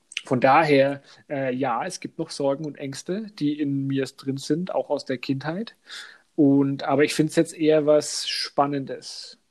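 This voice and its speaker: A man with a Franconian accent speaks at a fairly high pitch. His pace is fairly slow and his intonation fairly even. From Upper Franconia, Germany. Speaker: podcast co-host. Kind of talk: casual chat.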